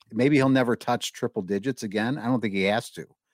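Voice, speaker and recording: The man has an ordinary speaking voice at medium pitch with ordinary pitch variation, recorded with a dry, close sound and no echo. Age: 30s. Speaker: podcast co-host. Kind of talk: casual chat.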